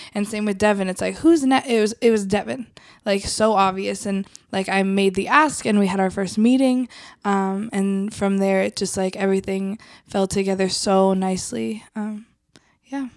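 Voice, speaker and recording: An ordinary speaking voice from a woman, medium in pitch with ordinary pitch variation, on a very clean recording with a silent background. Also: moderate pace. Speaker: ministry staff member.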